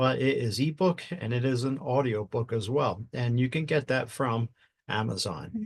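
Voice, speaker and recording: With a somewhat breathy, medium-pitched voice, a man talks at a moderate pace, his pitch varying in an ordinary way. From US Northeast, southern New Jersey. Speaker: retired fire chief and podcast host. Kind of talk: casual podcast chat. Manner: straightforward, blunt.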